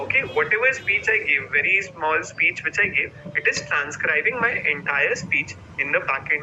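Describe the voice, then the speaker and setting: Amid noticeable background noise, a man with a high pitch speaks at a moderate pace, his intonation lively and his loudness very even. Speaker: online course instructor. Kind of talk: live webinar tutorial. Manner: repetitive, many fillers.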